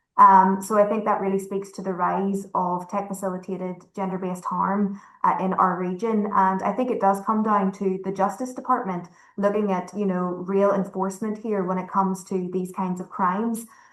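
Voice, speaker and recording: A woman with a Northern Irish accent talks at a moderate pace and medium pitch, her intonation monotone and flat, with hardly any pauses. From Northern Ireland. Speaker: panelist, advocate against gender-based violence. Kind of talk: panel discussion.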